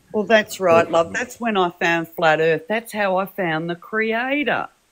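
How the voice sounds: Here is a woman with a medium pitch and a fairly bright tone. She speaks at a fairly slow pace.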